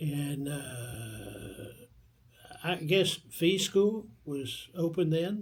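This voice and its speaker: A man's fairly high voice with lively intonation at a very slow pace. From northeastern Kentucky (Vanceburg, Maysville). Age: 80s+. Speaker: oral history interviewee. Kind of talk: oral history interview. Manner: halting, with frequent fillers.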